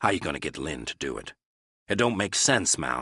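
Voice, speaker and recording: A man puts on a growling character voice with a very deep, low pitch and very wide pitch swings. He moves at a fairly quick pace, and the sound is dry and close with no echo. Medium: read story. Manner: laborious.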